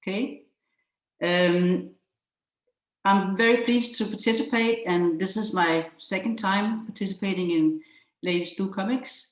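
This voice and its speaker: Long, frequent pauses break up the fairly slow speech. The pitch varies in an ordinary way. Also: woman, medium pitch for a woman. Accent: Danish. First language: Danish. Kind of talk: presentation with slides. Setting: video call.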